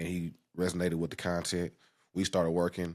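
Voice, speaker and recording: A man speaks with an American accent in a very deep, low pitch. The recording is very clean, with a silent background. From Oakland, California (Bay Area). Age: 30s. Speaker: realtor. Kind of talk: podcast interview. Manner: casual, slangy.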